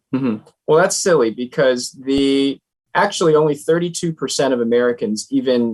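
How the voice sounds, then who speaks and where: He has a normal speaking voice, pitched fairly high. The man moves along at a fairly quick pace. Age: young. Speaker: nonprofit founder and author. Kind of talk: interview.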